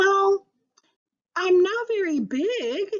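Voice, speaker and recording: A woman uses a put-on character voice that is squeaky and extremely high in pitch. She raises and projects her voice. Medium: read story. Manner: kind.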